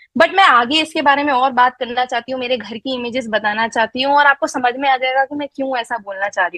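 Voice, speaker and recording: A woman with a high pitch uses a raised, projected voice at a moderate pace with hardly any pauses. Her loudness swings widely, her pitch varies in an ordinary way, and the sound is dry and close with no echo. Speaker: network marketing distributor. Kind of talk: live online presentation. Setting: online live session with chat. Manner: hesitant, frequent fillers; code-switching Hindi-English.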